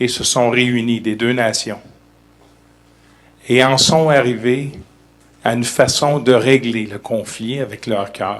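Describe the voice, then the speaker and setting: Speaking at a very slow pace, a man with a Canadian French accent keeps a medium pitch and fairly even intonation. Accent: Canadian French accent, noticeable. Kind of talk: formal speech at press event.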